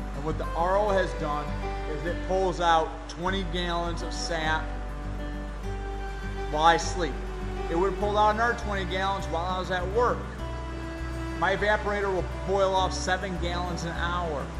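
A man speaks at a moderate pace with long, frequent pauses. Clear music plays in the background. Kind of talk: casual vlog chat. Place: workshop. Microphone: phone near.

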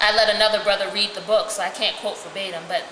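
There is audible room echo and light background noise as a woman speaks at a fairly quick pace. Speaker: reader of prisoner letters. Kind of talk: dramatic reading of a letter. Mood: earnest, calm. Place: home room. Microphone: camera far.

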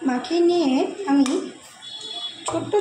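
Music plays behind a woman whose pitch moves in a normal way. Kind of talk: casual cooking vlog chat. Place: kitchen. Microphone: phone near.

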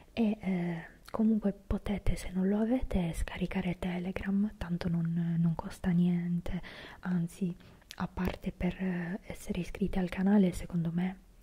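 A woman speaks at a fairly slow pace in a monotone, flat intonation. Her tone is dark, mellow and somewhat breathy. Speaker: fitness content creator. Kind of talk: casual vlog chat. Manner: soft whispered ASMR talk close to mic. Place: home room. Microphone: handheld.

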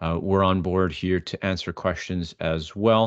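A man talks at a moderate pace in a plain, everyday voice, fairly low in pitch with fairly even intonation. The background is quiet and the sound is dry with no echo. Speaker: webinar host. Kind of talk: webinar presentation. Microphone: video call.

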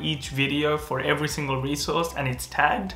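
Audible room echo surrounds a man speaking. He keeps a moderate pace and fairly even intonation. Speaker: medical student youtuber. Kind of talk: casual explainer vlog. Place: home room.

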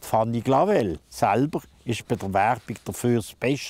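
In a dark, mellow tone, a man speaks with lively intonation and a dry sound with no echo. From Switzerland, Basel. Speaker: local historian and presenter; presenter. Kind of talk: scripted narration. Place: street.

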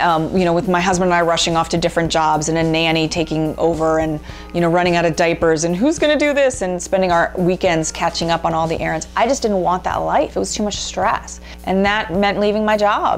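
A woman's fairly low voice at a fairly quick pace, with ordinary pitch variation and very even loudness, faint music in the background. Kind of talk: interview answer. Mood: reflective, earnest. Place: home room. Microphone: lapel.

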